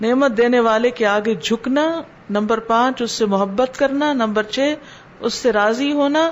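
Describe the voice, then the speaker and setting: A woman has a normal speaking voice at a fairly high pitch. Her loudness is very even, with ordinary pitch variation. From Pakistan. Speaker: Islamic scholar and preacher. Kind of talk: religious lecture (dars) in Urdu.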